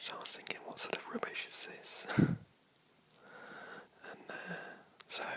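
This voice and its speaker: Whispering from a man in a relaxed tone at a moderate pace, with long, frequent pauses and noticeable background noise. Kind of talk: casual talk to camera. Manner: whispered, relaxed.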